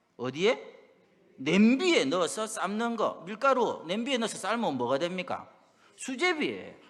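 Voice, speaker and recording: A man speaks at a high pitch with a strong Busan accent, his voice making very wide pitch swings. He keeps a moderate pace, and audible room echo surrounds him. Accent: strong Busan (Gyeongsang) dialect. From South Korea, Busan. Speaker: pastor. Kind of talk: sermon.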